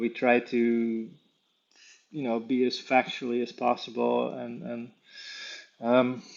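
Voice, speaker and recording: The speaker has a Dutch accent and monotone, flat intonation. The pace is fairly slow. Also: man. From Netherlands, The Hague area. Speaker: animal tracker and conservationist. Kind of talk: interview. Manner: halting, many fillers.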